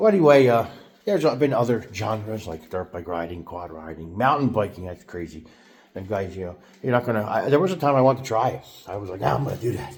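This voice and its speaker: Over noticeable background noise, someone with an American accent talks at a very fast pace with lively intonation. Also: man. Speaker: YouTuber. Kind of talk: casual monologue vlog. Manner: halting, many fillers and restarts.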